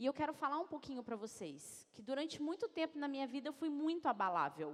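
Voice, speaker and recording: A woman speaks with a São Paulo interior accent at a moderate pace. Her pitch is high, her tone animated and her intonation lively. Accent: caipira accent from interior São Paulo. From interior of São Paulo state, Brazil. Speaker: executive coach, speaker. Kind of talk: motivational talk. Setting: stage with audience.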